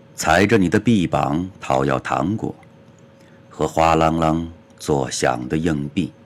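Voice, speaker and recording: Very slow, very deep male speech with ordinary pitch variation, long and frequent pauses, and noticeable background noise. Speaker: poet reading own poems. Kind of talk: poetry reading.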